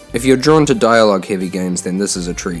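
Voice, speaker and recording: Over music in the background, a man with a New Zealand accent talks at a very fast pace. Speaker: game reviewer.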